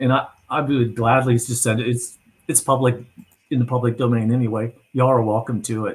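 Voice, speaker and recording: A man speaks at a medium pitch with a somewhat breathy quality. His intonation is monotone and flat. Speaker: narrative and influence strategist. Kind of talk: video call planning discussion. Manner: fast.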